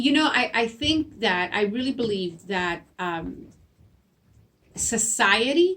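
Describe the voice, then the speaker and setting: In a Spanish accent, a woman speaks very slowly at a fairly high pitch, with very wide pitch swings and long, frequent pauses. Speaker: school principal. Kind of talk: interview. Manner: halting, repeats words.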